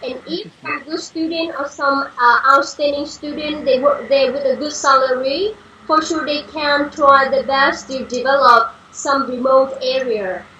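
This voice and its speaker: Over noticeable background noise, a woman with a Vietnamese accent speaks in a raised, projected voice at a high pitch and a fairly slow pace, with hardly any pauses. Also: ordinary pitch variation. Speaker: panel guest. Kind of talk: discussion. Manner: halting.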